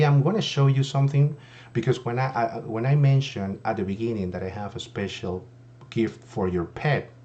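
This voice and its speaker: A man speaks with a non-native accent at a moderate pace. His intonation is lively. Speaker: insurance agent. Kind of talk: sales pitch. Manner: hesitant, many fillers.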